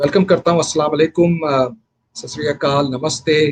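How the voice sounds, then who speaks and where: A man with a Pakistani accent speaks at a moderate pace and fairly high pitch. The sound is dry and close, with no echo. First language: Urdu. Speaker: political candidate. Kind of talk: live radio broadcast, campaign talk. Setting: radio studio. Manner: halting, many fillers.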